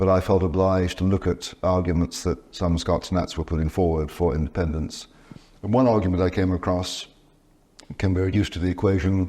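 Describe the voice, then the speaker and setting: Very deep and low, a man's dark, mellow voice moves at a fairly quick pace with very even loudness. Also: fairly even intonation. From Scotland. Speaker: professor of theology and author. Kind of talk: interview. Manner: halting, with false starts and repetitions.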